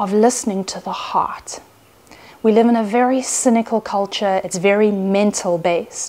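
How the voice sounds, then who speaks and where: A woman speaks with fairly even intonation. Her pace is moderate. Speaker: Gnostic nun and priestess. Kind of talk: sermon, spiritual teaching to camera. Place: home room.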